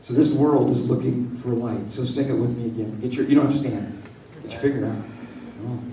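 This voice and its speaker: Against noticeable background noise, a man at medium pitch talks at a fairly quick pace with big swings in loudness. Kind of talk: sermon, live preaching to a congregation. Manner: animated, exhorting, call-and-response, fiery.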